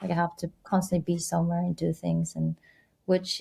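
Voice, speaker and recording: A woman speaks with a Korean accent at a moderate pace, her pitch fairly low. Her tone is dark and mellow, somewhat breathy, with fairly even intonation. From Korea (Seoul). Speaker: former journalist, business school student. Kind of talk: casual chat.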